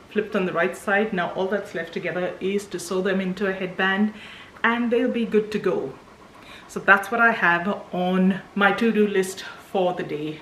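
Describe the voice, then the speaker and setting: Over noticeable background noise, a woman speaks at a moderate pace with medium pitch and fairly even intonation. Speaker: small business owner, vlogger. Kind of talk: casual vlog talk. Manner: whispering.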